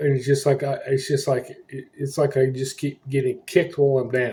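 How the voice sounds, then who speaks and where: Speaking at a moderate pace, a man with a fairly high pitch has a somewhat breathy voice and a dark, mellow tone. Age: 60s. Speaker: homeless vlogger. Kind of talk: casual vlog update. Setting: motel room. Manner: agitated, ranting.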